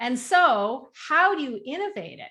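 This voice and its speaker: This woman speaks with a Canadian accent. Her tone is bright and sharp. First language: French. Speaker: novelist. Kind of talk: interview. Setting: video call.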